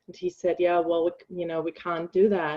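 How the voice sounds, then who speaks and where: A woman talks with a German accent at a fairly low pitch. Her intonation stays fairly even. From Germany. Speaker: bereaved mother and grief support coach. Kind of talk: personal testimony in interview. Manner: halting, many filler ums.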